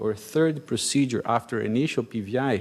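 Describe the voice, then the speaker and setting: A man talks at a moderate pace in a Brazilian Portuguese accent. His intonation is lively. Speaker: cardiologist. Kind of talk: conference talk.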